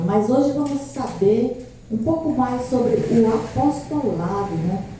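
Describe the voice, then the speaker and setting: Lively in intonation, a woman speaks at a very slow pace amid noticeable background noise and audible room echo. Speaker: pastor and evangelist. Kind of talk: sermon. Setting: church service streamed live. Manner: soft-spoken.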